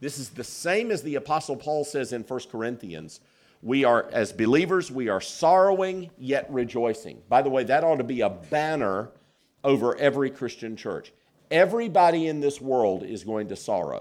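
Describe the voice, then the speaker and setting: Speaking in a Southern US accent at a moderate pace, a man uses a fairly high pitch with very wide pitch swings, in a very clean recording with a silent background. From US South, South Carolina. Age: 50s. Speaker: pastor. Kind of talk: sermon.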